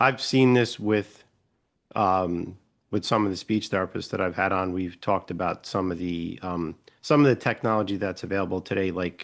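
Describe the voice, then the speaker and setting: A man's very deep, low voice with a New York accent, against a quiet background. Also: ordinary pitch variation, moderate pace. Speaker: podcast host. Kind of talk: interview conversation.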